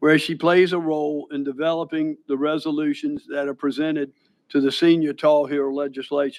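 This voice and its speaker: Monotone, flat delivery at a moderate pace against a quiet background. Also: man, fairly high pitch for a man. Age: 70s. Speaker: county board chairman. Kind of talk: public meeting remarks.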